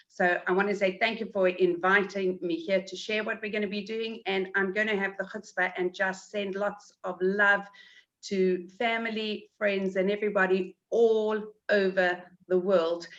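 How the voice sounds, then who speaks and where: A woman's medium-pitched voice with a South African accent, monotone and flat in intonation, at a moderate pace. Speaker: community event organizer. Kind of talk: webinar interview.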